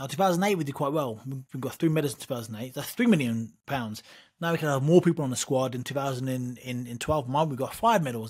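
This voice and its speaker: The speaker talks very fast with an East Anglian accent and ordinary pitch variation, on a very clean recording with a silent background. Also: man. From east of England. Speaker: boxer and wrestler. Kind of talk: interview. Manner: repetitive, halting.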